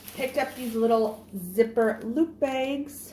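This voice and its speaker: Somewhat breathy and dark, mellow in tone, a woman's fairly high voice moves with ordinary pitch variation. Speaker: haul vlogger. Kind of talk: product haul video. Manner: animated.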